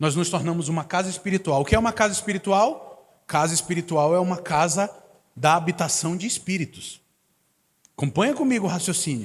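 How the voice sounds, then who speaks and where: A man speaks with a northern Brazilian accent. His pitch is high and his intonation lively. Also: very clean recording, silent background. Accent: northern Brazilian accent, hissing s sounds. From Manaus, Amazonas, northern Brazil. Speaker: guest preacher. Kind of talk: sermon. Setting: church service.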